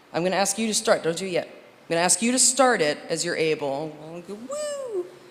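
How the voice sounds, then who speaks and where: Noticeable background noise accompanies a woman who talks at a moderate pace. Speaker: minister or worship leader. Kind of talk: church service address. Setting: church sanctuary with congregation. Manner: animated.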